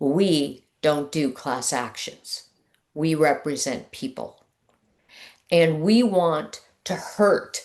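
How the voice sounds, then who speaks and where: A woman speaks with a very deep, low pitch at a very slow pace. The background is quiet. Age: 60s. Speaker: trial attorney. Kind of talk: persuasive talk. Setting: video call. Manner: emphatic.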